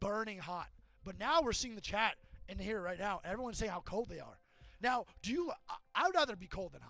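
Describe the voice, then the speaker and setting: An animated voice at a very fast pace, with music in the background. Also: man. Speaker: esports caster. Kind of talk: casual chat.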